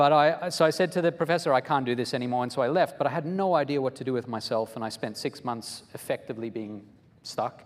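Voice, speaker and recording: The man talks at a very fast pace. His medium pitch shows ordinary pitch variation. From South Africa and Australia. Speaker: psychology professor and author. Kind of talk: interview at a live luncheon. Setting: luncheon event with audience.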